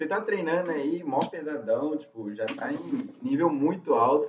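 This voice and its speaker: Pitched high, a man's voice makes very wide pitch swings. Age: 20s. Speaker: podcast host. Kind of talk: casual chat. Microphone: phone recording.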